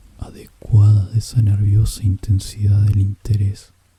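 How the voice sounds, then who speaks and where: Whispering, the speaker is soft-spoken. The pace is very slow. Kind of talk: whispered audiobook narration of a literary story. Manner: whispered, soft.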